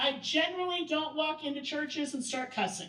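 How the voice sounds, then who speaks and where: A woman speaks loudly. Her voice is high-pitched. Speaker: workshop presenter. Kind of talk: training workshop talk. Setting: event room with audience.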